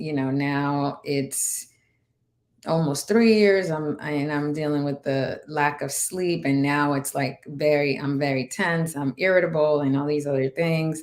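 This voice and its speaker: A woman with a Spanish accent, her pitch very deep and low, with ordinary variation and a fairly slow pace. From Dominican Republic. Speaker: navy veteran and cannabis entrepreneur. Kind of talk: interview testimony.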